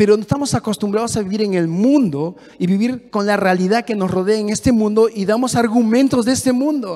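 In an animated tone, a man speaks with a high voice and ordinary pitch variation. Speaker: pastor. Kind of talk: sermon. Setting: church. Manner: fast.

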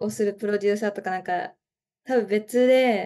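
Ordinary pitch variation in a woman's dark, mellow tone. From Japan, Chiba. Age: 20s. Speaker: art student. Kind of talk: casual chat.

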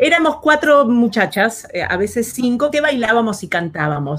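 Moderately paced speech with very wide pitch swings comes through noticeable background noise. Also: woman. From Argentina, Buenos Aires outskirts. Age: 50s. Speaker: actress and designer. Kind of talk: interview. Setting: live recorded vodcast. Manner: hesitant, many fillers.

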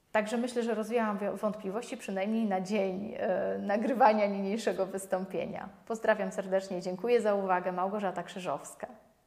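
Her delivery runs fairly quickly, the woman's intonation staying monotone and flat. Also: medium pitch for a woman. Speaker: lawyer. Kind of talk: legal explainer video. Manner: halting, with many fillers.

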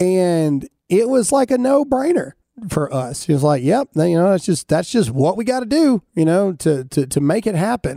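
A man with a Southern US accent talks at a moderate pace, his pitch swinging very widely. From US South. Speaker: podcast host and military veteran. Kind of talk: casual chat. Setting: studio.

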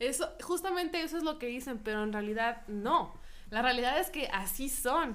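Her voice is high, with lively intonation throughout as the woman talks. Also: moderate pace. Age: 20s. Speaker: podcast co-host. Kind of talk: casual chat. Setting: studio.

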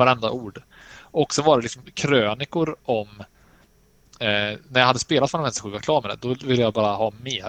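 Fairly quick, dry and close delivery from a man, a plain, everyday voice at medium pitch with ordinary pitch variation, no echo. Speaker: podcast co-host. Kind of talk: casual chat about games and films.

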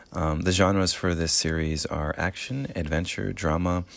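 With fairly even intonation, a man speaks in a very deep, low voice. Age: 20s. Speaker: manga podcast host. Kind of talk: casual solo podcast review. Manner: low energy, monotone; hesitant, many fillers.

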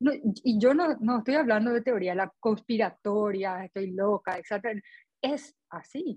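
A woman speaks at a fairly slow pace in a fairly high pitch. Her voice is somewhat breathy, with lively intonation. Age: 40s. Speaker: dieting support group member. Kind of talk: group conversation.

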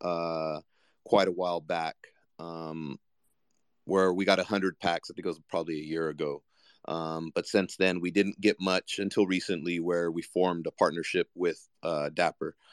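Over a quiet background, a man with a very deep, low pitch talks at a moderate pace. His intonation is monotone and flat, in a dry, close sound with no echo. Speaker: guest, digital collectibles business founder. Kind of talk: casual interview.

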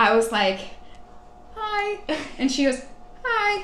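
Against noticeable background noise and audible room echo, a woman with an American accent speaks with very wide pitch swings. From Texas. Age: 20s. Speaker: podcast guest. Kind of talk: casual interview. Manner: hesitant, many fillers.

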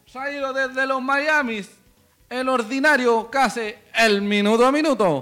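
Extremely high in pitch, a man projects a raised voice with a bright, sharp, animated tone. His pitch varies in an ordinary way, and he speaks at a fairly slow pace. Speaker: football podcast host. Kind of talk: casual chat. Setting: studio.

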